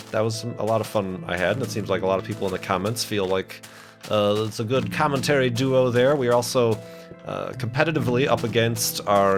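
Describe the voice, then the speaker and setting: A man's medium-pitched voice with ordinary pitch variation over music in the background. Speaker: let's play gamer. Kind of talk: casual gameplay commentary.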